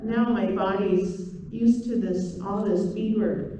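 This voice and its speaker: In a room with audible echo, a woman of medium pitch talks at a very slow pace with fairly even intonation. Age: 60s. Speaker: traditional beadwork teacher. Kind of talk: presentation. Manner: hesitant.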